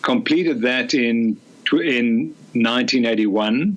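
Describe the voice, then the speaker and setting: With noticeable background noise around him, a man talks at a medium pitch. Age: 60s. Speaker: sports scientist and physician. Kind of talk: podcast interview.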